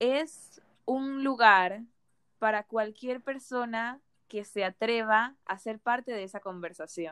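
Speaking very slowly, a woman with a fairly high pitch and ordinary pitch variation comes through in a dry, close sound with no echo. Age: 20s. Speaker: podcast host, nutrition student. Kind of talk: casual podcast intro.

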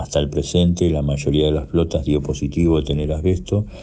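A man speaks with a very deep, low pitch and fairly even intonation. Noticeable background noise runs underneath. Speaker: subway union health delegate. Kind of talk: radio interview. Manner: halting, repeats words.

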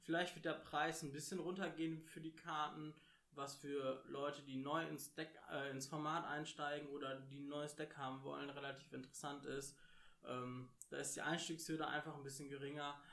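There is audible room echo around a man's fairly high, bright, sharp voice. He speaks at a moderate pace with monotone, flat intonation. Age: 30s. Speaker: podcast co-host, card game player. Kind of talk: casual chat.

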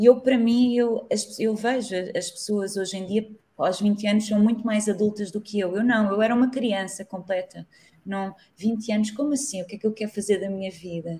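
A woman with a European Portuguese accent speaks at a moderate pace in a fairly high, somewhat breathy voice with a dark, mellow tone and fairly even intonation. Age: 30s. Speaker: street artist. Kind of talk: interview.

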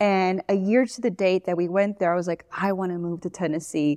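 A woman with a Miami accent speaks in a medium pitch with fairly even intonation, the sound dry and close with no echo and the background quiet. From Miami, Florida. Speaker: social media business owner. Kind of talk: casual interview. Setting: studio. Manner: fast talker.

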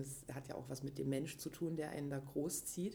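A woman's very deep, low voice with vocal fry, a dark, mellow tone and a fairly quick pace. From Leipzig, Saxony, eastern Germany. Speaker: interviewee, contemporary witness of post-reunification youth. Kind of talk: casual conversation.

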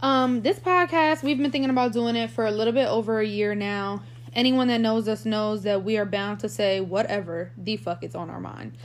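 Fairly quick delivery in a normal speaking voice, its pitch varying in an ordinary way. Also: woman, fairly high pitch for a woman. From Puerto Rican heritage, US. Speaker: podcast host. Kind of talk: casual chat.

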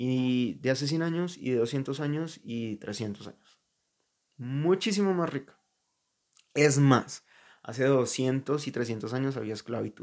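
Ordinary pitch variation marks this very slow-paced speech. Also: man, medium pitch for a man. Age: 20s. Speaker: podcaster. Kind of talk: personal monologue. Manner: casual.

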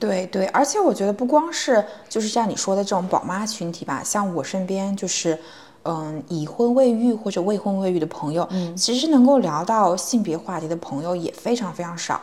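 In an unremarkable speaking voice, a woman talks at a moderate pace with a medium pitch and lively intonation. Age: 20s. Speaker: podcast co-host, tech company HR. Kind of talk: casual chat.

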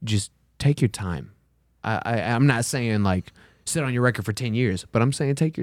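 An ordinary speaking voice with an American accent and lively intonation moves at a moderate pace, in a dry, close sound with no echo on a very clean recording with a silent background. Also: man. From Texas. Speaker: musician and ballroom dance teacher. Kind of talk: casual interview chat.

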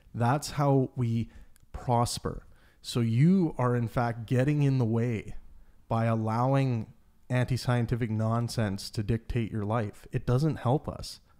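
On a very clean recording with a silent background, a man with a Canadian accent speaks fairly slowly at medium pitch, his dark, mellow tone carrying fairly even intonation. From Canada. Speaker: podcast host. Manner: casual.

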